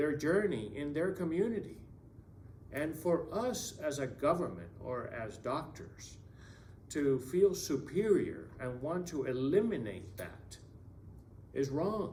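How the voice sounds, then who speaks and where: Speaking at a very slow pace with a non-native accent, a man with a fairly high pitch and vocal fry swings his pitch very widely amid audible room echo. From Latin America. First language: Spanish. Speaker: political candidate. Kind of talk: political Q&A answer. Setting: community event in school room.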